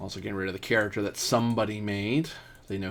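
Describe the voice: It's plain reading aloud with fairly even intonation.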